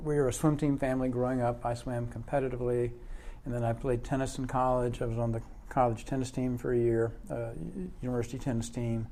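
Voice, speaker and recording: Very fast speech from a man of medium pitch, fairly even in intonation, with audible room echo. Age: 60s. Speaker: fitness enthusiast sharing survival story. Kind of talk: casual interview.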